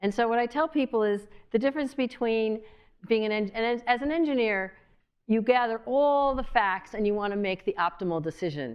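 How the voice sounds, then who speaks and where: At a fairly quick pace, a woman talks in a fairly high pitch with lively intonation. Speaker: mediator and engineer, guest lecturer. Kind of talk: lecture. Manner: fast.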